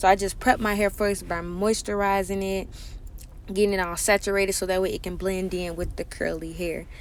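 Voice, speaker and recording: The speaker talks at a fairly quick pace in a monotone, flat intonation. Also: woman, medium pitch for a woman. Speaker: hair tutorial vlogger. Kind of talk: tutorial voiceover. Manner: casual, chatty; fast.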